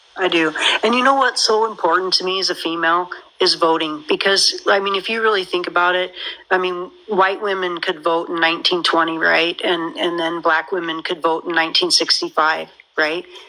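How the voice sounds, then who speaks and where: With an American accent, a woman speaks at a fairly low pitch with ordinary pitch variation over noticeable background noise. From United States. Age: 50s. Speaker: caller. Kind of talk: casual chat.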